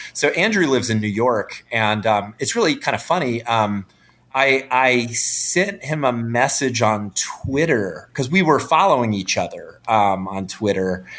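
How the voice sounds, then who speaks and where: A man with an American accent and a plain, everyday voice talks at a fairly slow pace and medium pitch, his intonation lively. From North Carolina, US South. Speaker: film director. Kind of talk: interview.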